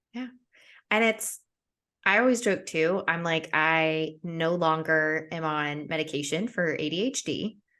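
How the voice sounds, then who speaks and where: An unremarkable speaking voice with an American accent and ordinary pitch variation comes through over a quiet background. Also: woman, fairly low pitch for a woman. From United States. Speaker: podcast host. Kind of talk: casual chat.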